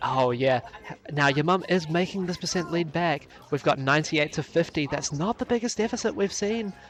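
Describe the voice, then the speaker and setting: A man talks with a strong New Zealand accent and a high pitch. His intonation is lively and his pace fairly quick. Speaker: esports commentator. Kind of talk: live commentary.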